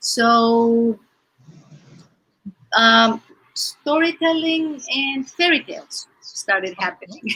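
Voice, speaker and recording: In a Greek accent, a raised, projected voice with lively intonation moves at a very slow pace with long, frequent pauses. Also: woman, high pitch for a woman. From Greece. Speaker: children's author and theater teacher. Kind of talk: interview. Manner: hesitant, many fillers.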